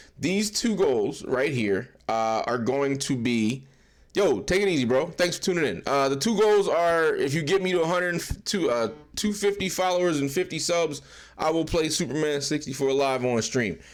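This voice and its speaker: This man's fairly high voice moves at a moderate pace with lively intonation and very even loudness. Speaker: game streamer. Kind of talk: live stream chat. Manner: casual, rambling.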